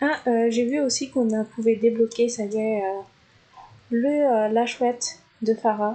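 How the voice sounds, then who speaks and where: A woman's fairly high, dark, mellow voice at a fairly slow pace, fairly even in intonation, broken by long, frequent pauses. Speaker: gaming YouTuber. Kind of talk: gameplay commentary. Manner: hesitant, many fillers.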